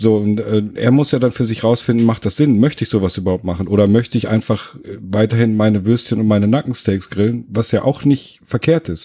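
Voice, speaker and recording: Here a man talks at a fairly quick pace with hardly any pauses. His tone is dark and mellow, at medium pitch with ordinary pitch variation. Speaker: podcast co-host, trained cook. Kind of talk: casual chat. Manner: calm, measured.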